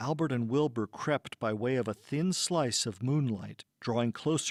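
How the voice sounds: A natural reading voice with ordinary pitch variation sounds over a quiet background.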